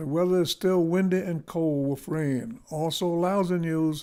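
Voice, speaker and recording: With an American accent, a man speaks at a high pitch in a dark, mellow tone, with ordinary pitch variation and a moderate pace, on a very clean recording with a silent background. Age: 90s. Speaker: war veteran. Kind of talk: speech reading a prepared memoir. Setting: speaking at an organization's event.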